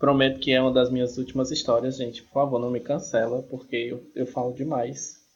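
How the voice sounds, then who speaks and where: Somewhat breathy and monotone, a man with a medium-pitched voice talks at a fairly quick pace with hardly any pauses, his loudness swinging a lot. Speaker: retired systems analyst, student. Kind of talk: casual chat. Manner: talkative.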